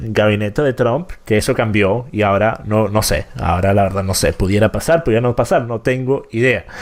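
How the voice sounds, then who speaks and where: At a fairly quick pace and with hardly any pauses, a man speaks at a medium pitch over noticeable background noise. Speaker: political commentator and show host. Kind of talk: live-streamed interview. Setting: live stream with chat.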